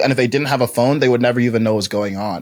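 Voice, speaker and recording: A man with a medium-pitched voice. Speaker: life coach and public speaker. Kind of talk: casual podcast conversation. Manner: loud; animated, with frequent fillers and restarts.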